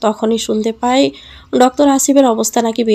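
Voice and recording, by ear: A natural voice, reading aloud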